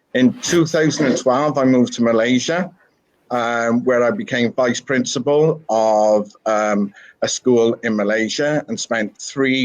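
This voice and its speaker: The man's voice sits at a medium pitch and varies in an ordinary way. He talks at a fairly slow pace. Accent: slight Welsh. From Wales. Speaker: school principal. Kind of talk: interview. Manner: hesitant, many fillers.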